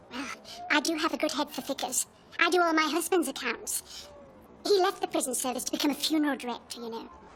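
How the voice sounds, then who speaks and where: A put-on character voice at a very fast pace. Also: woman, high pitch for a woman, ordinary pitch variation. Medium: short film. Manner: blunt, self-important.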